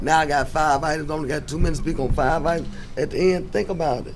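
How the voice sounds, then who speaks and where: A man talks at a very fast pace. Room echo is audible. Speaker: housing authority board commissioner. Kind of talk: board meeting discussion.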